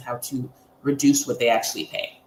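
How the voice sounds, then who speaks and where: A woman talks at a fairly quick pace. Noticeable background noise runs beneath her. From Quebec, Montreal. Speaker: accountant. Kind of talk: interview.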